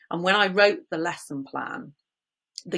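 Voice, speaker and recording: A woman with a slight West Country accent, fairly even intonation and a moderate pace. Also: very clean recording, silent background. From England, Bristol (West Country). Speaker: business founder, first aid trainer. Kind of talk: interview.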